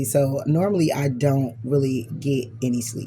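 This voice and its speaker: Noticeable background noise and audible room echo surrounding a woman's voice, its pitch varying in an ordinary way. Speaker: tarot reader. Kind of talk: tarot reading monologue. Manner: casual, many fillers.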